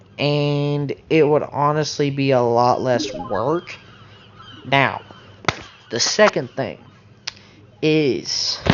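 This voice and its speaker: A man's very slow speech with long, frequent pauses, fairly high in pitch with ordinary pitch variation, over noticeable background noise. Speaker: gaming YouTuber. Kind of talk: casual commentary video.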